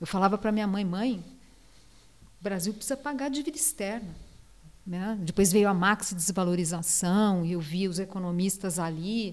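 A woman's pitch varies in an ordinary way. She speaks with long, frequent pauses. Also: medium pitch for a woman, moderate pace. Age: 50s. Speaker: economist and state official. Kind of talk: interview.

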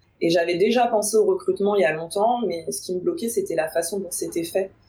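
Noticeable background noise runs under a woman speaking at a moderate speed. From Paris region, France. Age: 30s. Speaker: recruiter. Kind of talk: interview.

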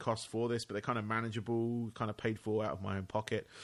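Against a quiet background, a man with an English accent speaks at medium pitch and a very fast pace in a flat monotone. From England. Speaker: podcast host. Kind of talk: casual interview; podcast monologue.

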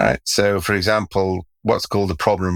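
A man speaks at a moderate pace, recorded very cleanly over a silent background. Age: 60s. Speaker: expert guest. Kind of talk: interview conversation.

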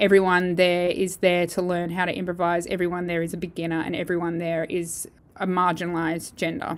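In an Australian accent, a woman with a fairly low pitch speaks at a fairly quick pace in a monotone, flat intonation with hardly any pauses. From Perth, Western Australia. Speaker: jazz saxophonist and bandleader. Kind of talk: interview.

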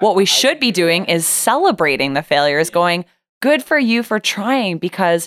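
A woman with an ordinary speaking voice talks at a fairly low pitch, recorded very cleanly against a silent background. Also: dry, close sound with no echo. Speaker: podcast host and business coach. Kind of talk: casual interview chat.

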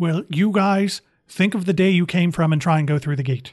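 A man puts on a character voice pitched high. He talks at a moderate pace. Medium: actual play.

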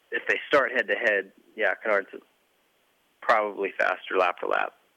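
Moving at a moderate pace, a man speaks in an American accent. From Montana. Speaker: former motocross racer and team manager. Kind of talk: casual chat.

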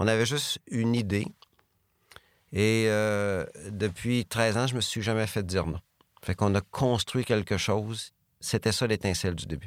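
Speaking slowly with long, frequent pauses, a man with a Beauce accent has a fairly low pitch and ordinary pitch variation, on a very clean, dry, close recording with a silent background and no echo. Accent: Quebec French, Beauce. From Quebec, Beauce. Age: 50s. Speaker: business executive. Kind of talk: interview.

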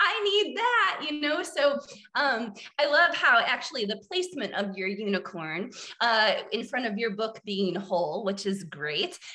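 A woman with an American accent talks at a fairly slow pace and a fairly high pitch, her pitch swinging very widely over noticeable background noise. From US Midwest, central Illinois. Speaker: therapist. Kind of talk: casual interview.

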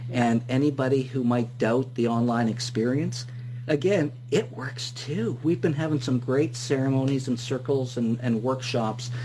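Noticeable background noise sits behind a man speaking at a moderate pace, with a medium pitch and fairly even intonation. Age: 50s. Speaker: radio host. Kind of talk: interview.

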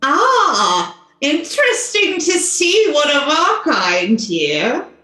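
A put-on character voice delivers the lines at a very slow pace. A slight echo can be heard. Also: woman, extremely high pitch for a woman.

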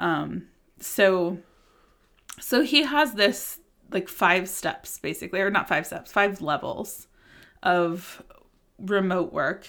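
On a very clean recording with a silent background, a woman with an American accent speaks at a medium pitch with lively intonation and long, frequent pauses. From United States. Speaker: podcast host. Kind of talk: casual interview chat. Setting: recording in person, shared microphone. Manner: fast talker.

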